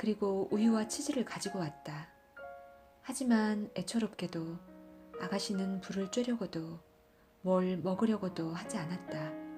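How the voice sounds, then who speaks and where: With music in the background, a woman speaks at a fairly slow pace in a calm, soothing tone. Her medium pitch has ordinary variation, and she leaves long, frequent pauses. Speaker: audiobook narrator. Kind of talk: literary audiobook reading. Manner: calm, soothing reading.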